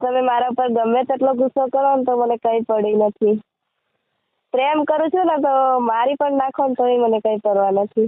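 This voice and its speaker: A woman speaks with a high pitch and fairly even intonation. Her loudness stays very even throughout. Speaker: caller. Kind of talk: phone call chat. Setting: phone call. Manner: laughing while talking.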